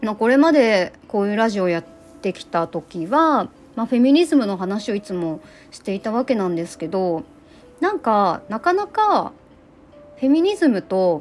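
A woman's fairly high voice moves through very wide pitch swings and big swings in loudness. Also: moderate pace. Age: 30s. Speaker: activist and podcaster. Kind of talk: casual monologue. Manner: rambling, casual.

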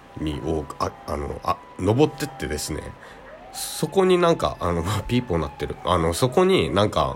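Noticeable noise fills the background. Over it, a man talks at a moderate speed. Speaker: podcast host. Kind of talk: solo monologue. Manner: calm.

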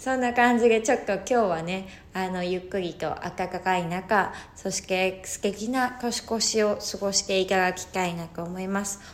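A woman speaks at a medium pitch and a moderate pace, her intonation fairly even. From Hokkaido, Japan. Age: 30s. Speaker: podcaster on psychology and spirituality. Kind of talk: solo talk. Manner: casual, hesitant with fillers.

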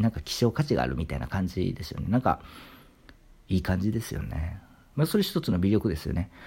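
A man talks very fast in a very deep, low voice with a dark, mellow tone and vocal fry. His pitch swings very widely, and the recording is very clean with a silent background. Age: 30s. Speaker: literature YouTuber. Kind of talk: solo monologue talk.

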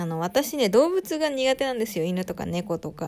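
Lively intonation carries this voice along at a moderate pace, recorded very cleanly against a silent background. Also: woman. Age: 20s. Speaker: solo podcaster. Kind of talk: casual solo talk. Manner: stumbling over words.

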